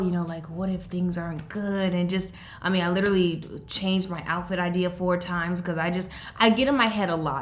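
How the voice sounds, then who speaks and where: A woman sounds animated in a space with audible room echo. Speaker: beauty youtuber. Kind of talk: casual vlog chat.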